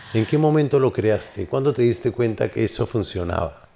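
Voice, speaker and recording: A man's somewhat breathy voice, medium in pitch, dark and mellow in tone, at a moderate pace. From Peru, Lima (Barranco). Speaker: interview show host. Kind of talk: casual interview.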